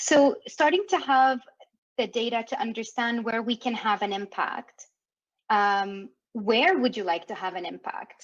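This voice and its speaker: A woman with a fairly high pitch speaks at a fairly slow pace with lively intonation. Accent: French Canadian. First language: French. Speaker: workshop facilitator. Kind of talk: interactive workshop facilitation. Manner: animated.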